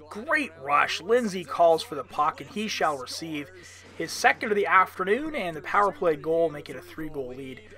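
A man speaks at high pitch and a moderate pace, with lively intonation and big swings in loudness. Noticeable background noise is present. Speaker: sports commentator. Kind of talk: live sports commentary / game highlights voiceover.

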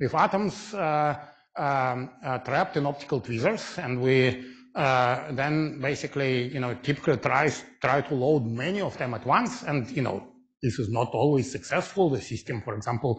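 At a moderate pace, a somewhat breathy voice speaks with ordinary pitch variation over a quiet background. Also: man. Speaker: physics lecturer. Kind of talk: lecture. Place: hall.

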